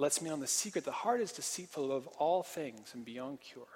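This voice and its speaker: In an unremarkable speaking voice with an American accent, a man talks at a fairly quick pace with a fairly high pitch and lively intonation. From Portland, Oregon. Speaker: preacher. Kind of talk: sermon.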